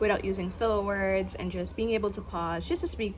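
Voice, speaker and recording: An American accent is heard with audible room echo. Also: woman. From Guyana. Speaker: content creator vlogger. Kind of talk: casual vlog monologue. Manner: unscripted, with filler words.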